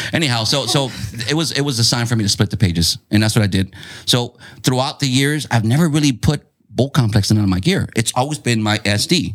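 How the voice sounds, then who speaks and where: Using a plain, everyday voice, a man with an American accent speaks with ordinary pitch variation. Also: medium pitch for a man, fairly quick pace. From San Diego South Bay, California. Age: 40s. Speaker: clothing brand owner. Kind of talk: casual chat.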